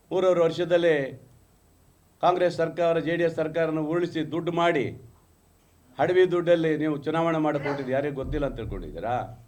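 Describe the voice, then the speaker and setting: Audible room echo surrounds a man's fairly high voice, which keeps fairly even intonation. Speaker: politician, party spokesperson. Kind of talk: press conference. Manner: combative, emphatic.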